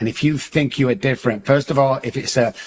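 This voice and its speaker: Noticeable background noise accompanies the speech. A man talks at a medium pitch. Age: 60s. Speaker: addiction and mindset coach. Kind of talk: podcast interview. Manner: animated, emphatic.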